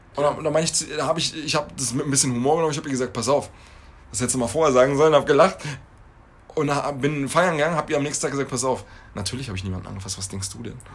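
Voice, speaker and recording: Very fast between long, frequent pauses, a man talks in a fairly high voice with ordinary pitch variation. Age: 30s. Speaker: podcast co-host. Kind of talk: casual chat.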